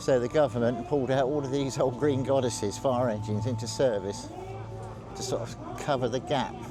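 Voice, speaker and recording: Amid noticeable background noise, a man at a medium pitch talks at a fairly quick pace with fairly even intonation. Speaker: vlogger filming a military vehicle show. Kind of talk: casual walkaround commentary. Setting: outdoors at a show. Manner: slurring words slightly.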